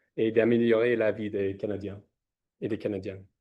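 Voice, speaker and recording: Someone with a non-native accent speaks with fairly even intonation. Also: man. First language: not French (speaking French). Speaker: scientist, researcher. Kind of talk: conference presentation. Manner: halting, many hesitations.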